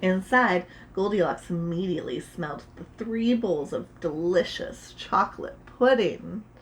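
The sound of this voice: The speaker reads unforced, and the pitch shifts in an ordinary way.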